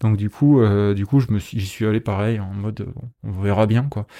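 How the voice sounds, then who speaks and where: The man's voice has a dark, mellow tone at medium pitch and a fairly slow pace. The sound is dry and close with no echo, in a very clean recording with a silent background. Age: 30s. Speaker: 3D character artist for video games. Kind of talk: casual interview. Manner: hesitant, many fillers.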